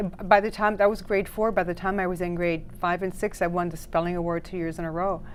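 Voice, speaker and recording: A woman at a medium pitch races along at a very fast pace in a flat monotone, with hardly any pauses. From Netherlands, then New York and Toronto. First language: French. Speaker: dating coach. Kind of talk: talk show interview.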